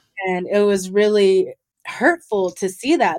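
Speaking at a fairly slow pace with an American accent, the voice carries a passionate tone and lively intonation on a very clean recording with a silent background. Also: woman. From Owens Valley, California (Paiute reservation). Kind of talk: interview conversation.

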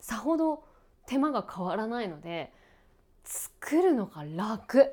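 Her pitch swinging very widely, a woman speaks in a dark, mellow tone. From Japan, outside Hokkaido. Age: 30s. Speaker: radio and TV announcer. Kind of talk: casual solo talk while cooking. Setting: at home.

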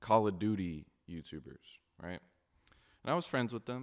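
A man talks at a fairly low pitch. His pitch variation is ordinary. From moved around: Kansas, Oklahoma, England, Houston. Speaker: YouTuber. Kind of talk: casual chat. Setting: remote outdoor setup in LA.

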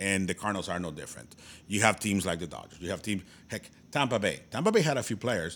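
Speaking very fast with a Spanish accent at a fairly low pitch, a man is heard on a very clean recording with a silent background. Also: ordinary pitch variation. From Tijuana, Mexico. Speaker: baseball podcast co-host. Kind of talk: casual chat.

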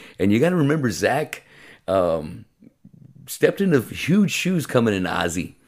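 A man's medium-pitched voice with vocal fry and very wide pitch swings, at a moderate pace with long, frequent pauses. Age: 50s. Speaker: podcast host and metal musician. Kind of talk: casual interview chat.

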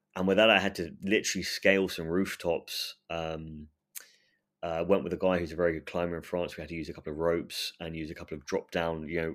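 On a very clean recording with a silent background, a man with an English accent and a very deep, low pitch speaks at a fairly quick pace in monotone, flat intonation. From England. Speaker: urban explorer. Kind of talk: casual interview. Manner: halting, repetitive fillers.

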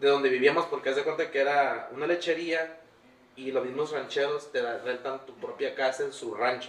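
A fairly high male voice with ordinary pitch variation over noticeable background noise. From Tijuana, Baja California, Mexico. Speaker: off-road content creator. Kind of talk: casual interview chat. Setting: workshop recording space.

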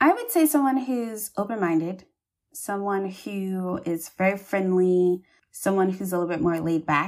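In a plain, everyday voice, a woman speaks with an American accent. Her pitch is medium, with ordinary pitch variation and a moderate pace. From US South, Charleston, South Carolina. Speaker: plastic surgery resident. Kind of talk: interview.

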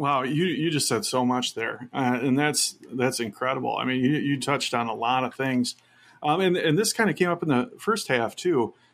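A man with a plain, everyday voice, a medium pitch, ordinary pitch variation and a moderate pace. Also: very clean recording, silent background. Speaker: podcast co-host. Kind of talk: casual interview. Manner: warm, encouraging.

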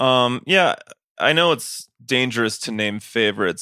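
A man talks in an unremarkable speaking voice at a moderate pace, his intonation fairly even. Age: 30s. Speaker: podcast host and touring musician. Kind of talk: casual chat. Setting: on tour in Mexico City.

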